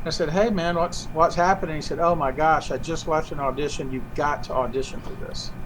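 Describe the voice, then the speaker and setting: With a Southern US accent, a man talks at a fairly quick pace with hardly any pauses. His pitch is fairly high with ordinary pitch variation, and there is noticeable background noise. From US South, Georgia. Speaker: puppeteer. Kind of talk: interview.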